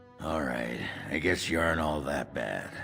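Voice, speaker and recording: Over clear music in the background, a man uses a raspy put-on character voice with a very deep, low pitch at a moderate pace. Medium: video game. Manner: gruff, crude.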